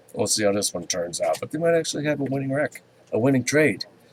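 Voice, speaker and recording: A man speaks over noticeable background noise. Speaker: commodities market commentator. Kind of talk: market commentary webcast. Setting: open office with others nearby. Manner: halting, many fillers.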